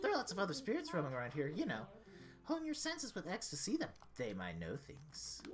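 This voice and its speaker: A put-on character voice races along at a very fast pace. Clear background noise runs underneath. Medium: game stream. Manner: teasing, condescending.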